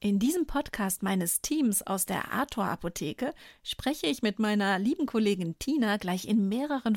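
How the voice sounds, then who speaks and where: On a very clean recording with a silent background and a dry, close sound free of echo, a woman speaks at a fairly high pitch with very wide pitch swings. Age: 40s. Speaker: pharmacist and podcast host. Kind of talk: scripted narration.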